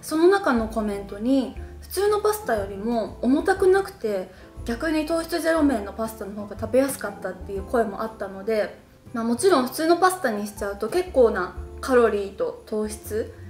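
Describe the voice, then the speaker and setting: Woman talking at a moderate pace with big swings in loudness, faint music in the background. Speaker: diet recipe vlogger. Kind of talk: casual vlog chat. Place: home room.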